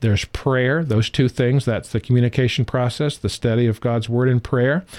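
A normal speaking voice from a man with an American accent, medium-pitched and fairly quick, in dry, close sound with no echo. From California. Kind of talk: Bible-based lecture.

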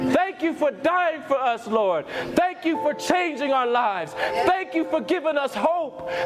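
Against music in the background, a man speaks at a fairly slow pace with an extremely high pitch and very wide pitch swings. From England. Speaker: preacher sharing testimony. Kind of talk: sermon and personal testimony, ending in an altar call. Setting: stage with audience at a youth conference. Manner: urgent, fervent preacher in full flow, pleading and exhorting; emphatic, direct appeals to the congregation.

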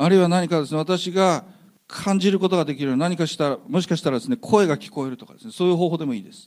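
A man with a high voice talks very fast, using ordinary pitch variation and big swings in loudness. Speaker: interpreter. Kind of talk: interpreted sermon.

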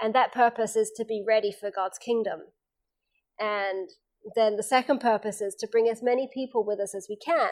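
The speaker has an English accent and fairly even intonation at a moderate pace, on a very clean recording with a silent background. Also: woman, fairly high pitch for a woman. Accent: English accent, retained. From England. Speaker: seminar presenter, former university staff. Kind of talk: seminar talk. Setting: camp meeting seminar with small audience.

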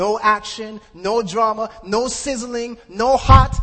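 The speaker sounds animated over noticeable background noise. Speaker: preacher and former hip hop artist. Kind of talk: sermon, impassioned preaching with call-and-response to a live congregation. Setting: church meeting with audience. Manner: animated, rhetorical, building intensity with repeated questions; emphatic, urgent, pleading.

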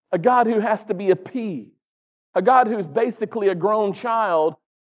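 Speaking at a moderate pace with a Southern US accent, a man uses a high pitch and ordinary pitch variation. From North Carolina. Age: 40s. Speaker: pastor. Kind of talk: sermon.

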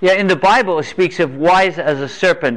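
Noticeable noise in the background behind speech with ordinary rises and falls in pitch. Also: man. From England. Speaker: preacher. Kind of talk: sermon. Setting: stage with audience. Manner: animated.

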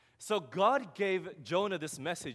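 A man talks with an Australian accent at a high pitch. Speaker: preacher. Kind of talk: sermon.

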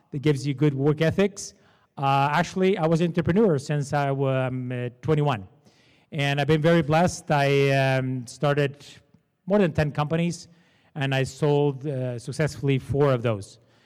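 Pitched fairly high with ordinary variation, a man with a Portuguese accent speaks at a moderate pace. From Portugal. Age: 40s. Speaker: entrepreneur and panel moderator. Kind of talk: seminar panel discussion. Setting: stage with audience. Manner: informal.

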